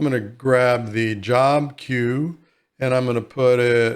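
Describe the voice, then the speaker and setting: A man's plain, everyday voice at a medium pitch with fairly even intonation, on a very clean recording with a silent background. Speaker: software tutorial creator. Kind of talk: tutorial. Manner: casual.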